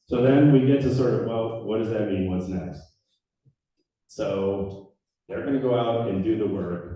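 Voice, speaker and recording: A man with a medium-pitched voice and a dark, mellow tone speaks at a fairly slow pace with ordinary pitch variation. He pauses long and often, and room echo is audible. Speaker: trails nonprofit director. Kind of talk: public presentation at community meeting. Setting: community meeting room with audience, microphone on stand. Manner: loud.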